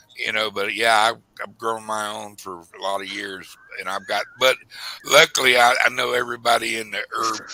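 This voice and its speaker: With an unremarkable speaking voice, a man of fairly low pitch talks at a moderate pace, his intonation fairly even but his loudness swinging widely. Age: 60s. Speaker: stream guest. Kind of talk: casual chat.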